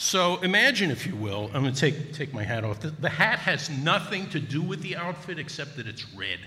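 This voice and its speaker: With hardly any pauses, a man in a slight New Jersey accent speaks at a fairly high pitch with very wide pitch swings and a bright, sharp tone, while audible room echo surrounds him. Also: moderate pace. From Newark, New Jersey. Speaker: former radio DJ. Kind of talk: stand-up. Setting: stage with audience.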